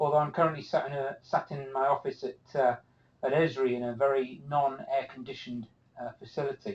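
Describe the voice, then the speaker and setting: This man has an American accent and a fairly high pitch. His intonation stays fairly even. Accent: British, noticeable to US audience. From UK. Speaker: cartography instructor. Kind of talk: live webinar presentation. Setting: office, online webinar. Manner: casual, many filler words.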